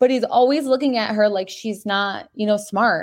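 In a quiet setting, a woman with an unremarkable speaking voice talks at a moderate pace, her fairly high pitch showing ordinary variation. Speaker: podcaster. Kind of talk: casual chat. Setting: video call.

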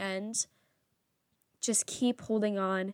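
In a very clean recording with a silent background, a woman speaks quietly at a fairly high pitch with monotone, flat intonation. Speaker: podcast host. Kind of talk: personal monologue. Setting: in bed at home.

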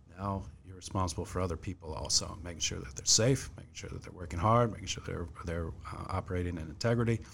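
Speaking at a fairly quick pace with an American accent, a man with a very deep, low pitch uses ordinary pitch variation. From Fredericksburg, Virginia, US. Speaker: police chief. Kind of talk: interview.

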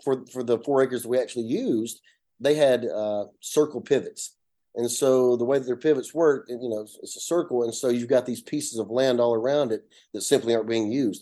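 Over a quiet background, a man with an Appalachian accent speaks fairly quickly in a medium pitch, his tone dark and mellow and his intonation fairly even. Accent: Southern US, Appalachian. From north Georgia, US. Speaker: solar company CEO. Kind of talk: interview, explanatory talk. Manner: conversational, hesitant with fillers.

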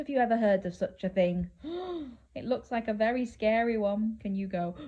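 A woman's fairly high voice with a dark, mellow tone, lively intonation and a moderate pace.

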